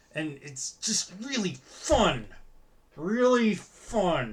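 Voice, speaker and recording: In a put-on character voice at a middle pitch, the speech moves at a very slow pace, sounds strained and swings very widely in pitch. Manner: sarcastic, forced enthusiasm.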